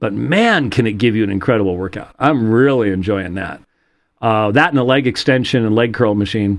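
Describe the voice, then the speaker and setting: This man talks at a medium pitch with ordinary pitch variation. It is a normal speaking voice. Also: fairly quick pace, quiet background. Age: 60s. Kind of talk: casual chat. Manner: casual with many fillers.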